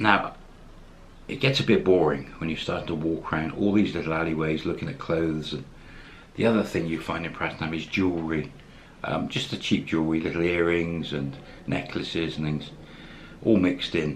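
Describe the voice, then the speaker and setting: A man's very deep, low voice at a fairly quick pace, with ordinary pitch variation and light background noise. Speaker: expat vlogger. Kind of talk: casual vlog chat. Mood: warm, upbeat.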